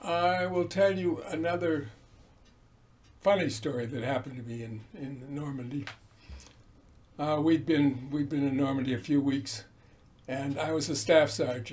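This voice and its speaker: A man with an American accent talks at a moderate pace, with long, frequent pauses. His voice is fairly high and somewhat breathy, with ordinary pitch variation. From Newton, Massachusetts. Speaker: World War II veteran. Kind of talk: oral history interview answer.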